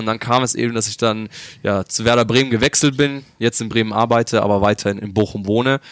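Very fast delivery with ordinary pitch variation. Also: man. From Germany, Upper Franconia (Bavaria). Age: 20s. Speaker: esports pro gamer. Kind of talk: interview. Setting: hotel lobby.

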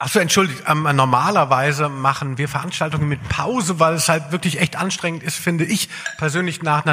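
Noticeable background noise surrounds a man speaking at a moderate pace, his pitch fairly high and his intonation fairly even. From southern Hesse, Germany (Darmstadt). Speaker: podcast host, music journalist. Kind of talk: live podcast on stage, casual banter. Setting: stage with live audience.

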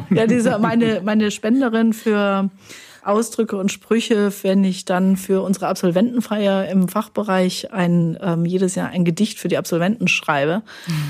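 This woman has an unremarkable speaking voice, medium in pitch, with fairly even intonation, very even loudness and a moderate pace. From Germany, Hesse. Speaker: linguistics professor. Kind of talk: casual chat. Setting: studio.

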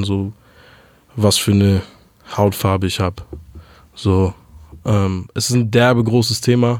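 In a very clean recording with a silent background, a man speaks in a fairly low, monotone voice with flat intonation. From Hamburg, Germany. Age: 20s. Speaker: rapper. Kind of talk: interview. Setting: studio.

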